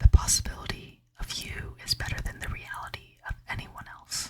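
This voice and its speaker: A woman is whispering. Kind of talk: ASMR book review, casual talk to camera. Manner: whispered, soft-spoken.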